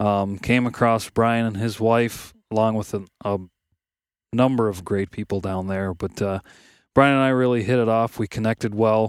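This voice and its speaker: A normal speaking voice from a man with an American accent comes at medium pitch and moderate pace, fairly even in intonation, on a very clean recording with a silent background and a dry, close sound with no echo. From West Michigan. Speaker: outdoorsman and podcast co-founder. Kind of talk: casual chat. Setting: outdoors at a wilderness campsite.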